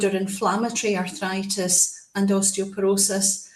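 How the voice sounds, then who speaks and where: Speaking with a Scottish accent at a medium pitch and a fairly slow pace, a woman is heard with audible room echo and noticeable background noise. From Scotland. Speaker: specialist nurse. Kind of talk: presentation.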